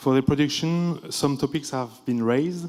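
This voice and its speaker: With a French accent, the speaker shows ordinary pitch variation. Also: man. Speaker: think tank group moderator. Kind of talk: conference summary presentation.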